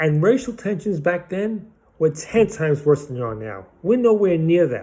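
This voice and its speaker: This man speaks in a Brooklyn accent at a moderate pace, his pitch fairly high. His tone is animated and his intonation lively. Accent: Brooklyn New York. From Brooklyn, New York (Bensonhurst). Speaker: political commentator vlogger. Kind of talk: angry monologue.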